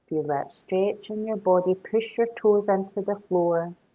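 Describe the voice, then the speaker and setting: Speaking very slowly, a woman with a Scottish accent uses a medium pitch. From Scotland. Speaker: yoga teacher. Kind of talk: guided yoga class instruction. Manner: gentle, calm.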